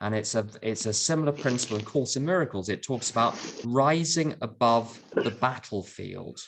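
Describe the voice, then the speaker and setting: A man with a London accent, medium in pitch, with hardly any pauses. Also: ordinary pitch variation, moderate pace. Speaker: AA speaker. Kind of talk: talk to recovery meeting. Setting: video call.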